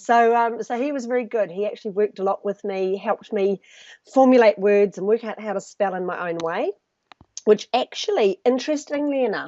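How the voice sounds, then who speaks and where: A woman speaks at a fairly quick pace with a New Zealand accent and a fairly high pitch. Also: ordinary pitch variation. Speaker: personal branding specialist. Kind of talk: interview.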